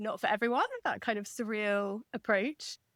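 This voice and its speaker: A woman with an English accent, in a dry, close sound with no echo. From England. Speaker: novelist. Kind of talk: interview conversation.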